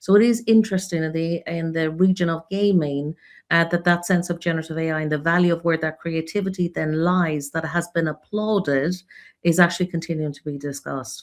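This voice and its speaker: Speaking at a fairly quick pace, a woman with an Irish accent uses a fairly low pitch. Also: fairly even intonation. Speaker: creative insights expert for a region. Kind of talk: panel discussion in a live webinar.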